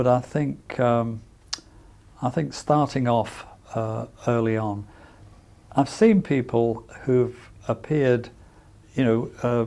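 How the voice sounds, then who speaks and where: Very slow speech from a man at medium pitch, dark and mellow in tone, with fairly even intonation and long, frequent pauses. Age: 70s. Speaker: audiology professor with hearing loss. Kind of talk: interview. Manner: halting, many fillers.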